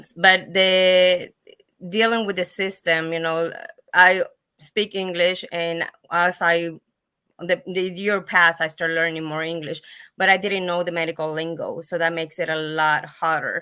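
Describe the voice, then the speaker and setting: Flat, monotone intonation in a Spanish accent, with a bright, sharp tone. The recording is very clean, with a silent background. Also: woman, fairly low pitch for a woman, moderate pace. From Mexico. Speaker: patient advocate, foundation founder. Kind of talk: panel discussion. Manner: halting.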